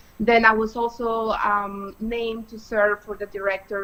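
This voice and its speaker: A woman with a Spanish accent. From Colombia, Bogota. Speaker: political candidate, attorney. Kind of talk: interview.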